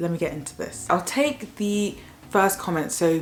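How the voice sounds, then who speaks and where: A woman speaks with a southern English accent and ordinary pitch variation. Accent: British, southern English. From southern England. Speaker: YouTuber, medical student. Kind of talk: casual vlog commentary.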